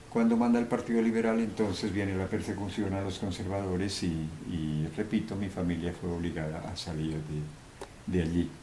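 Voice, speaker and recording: With audible room echo, a man talks at a very deep, low pitch with ordinary pitch variation. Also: moderate pace. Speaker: eyewitness to political violence. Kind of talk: interview testimony. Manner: halting, many fillers.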